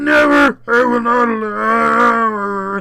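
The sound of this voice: In a put-on character voice, a man talks very slowly at an extremely high pitch, bright and sharp in tone with vocal fry and little pitch movement.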